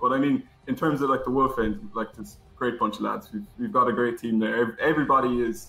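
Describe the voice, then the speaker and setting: Very fast speech from a man at medium pitch, with ordinary pitch variation, over noticeable background noise. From Ireland, Cork. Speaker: amateur gamer and American football player. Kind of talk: interview. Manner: halting.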